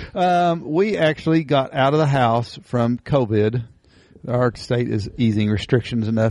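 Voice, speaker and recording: A man with an Appalachian accent, medium pitch, ordinary pitch variation and a fairly slow pace. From Eastern Kentucky. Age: 50s. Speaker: podcast host. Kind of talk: casual chat.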